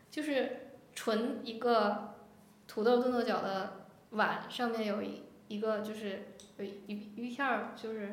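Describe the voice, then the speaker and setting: Amid audible room echo and noticeable background noise, a woman speaks very slowly in a monotone, flat intonation at a fairly high pitch. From Jinzhou, Liaoning, northeast China. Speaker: podcast guest, new mother. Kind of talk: casual chat.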